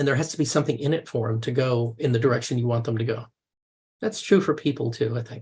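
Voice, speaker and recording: A man at a very fast pace, somewhat breathy. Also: medium pitch for a man, ordinary pitch variation. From US, grew up touring with circuses. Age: 60s. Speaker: mediator and coach. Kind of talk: interview, casual conversation. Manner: conversational, with frequent hesitations and repetitions.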